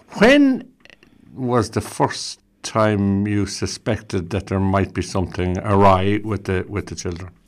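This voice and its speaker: Over a silent background in a very clean recording, a man with an Irish accent speaks fairly slowly at a fairly low pitch, his intonation monotone and flat. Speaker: radio host. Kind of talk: radio interview. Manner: warm, courteous.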